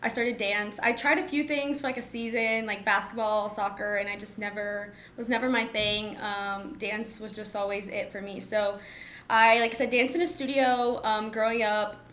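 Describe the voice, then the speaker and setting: With an American accent and a bright, sharp tone, a woman speaks at a fairly high pitch and moderate pace, her pitch varying in an ordinary way, in a room with audible echo. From Texas (Mansfield, DFW area). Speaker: pro sports team dancer. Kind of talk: interview conversation.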